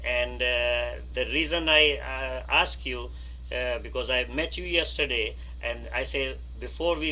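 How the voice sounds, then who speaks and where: This man speaks at a moderate pace. Audible room echo surrounds his voice. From Pakistan. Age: 70s. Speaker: scout leader. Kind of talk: video call meeting. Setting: video call. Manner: halting.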